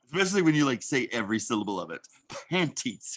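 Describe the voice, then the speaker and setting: A man with an American accent speaks at medium pitch with vocal fry. He talks fairly quickly, with very wide pitch swings. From Oklahoma, US. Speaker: actor. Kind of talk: casual interview chat.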